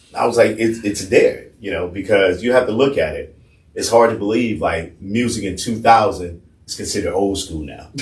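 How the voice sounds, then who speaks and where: A man with an American accent speaks at a medium pitch and moderate pace, somewhat breathy, with ordinary pitch variation and big swings in loudness. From US South. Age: 50s. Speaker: radio personality. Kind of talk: casual interview chat.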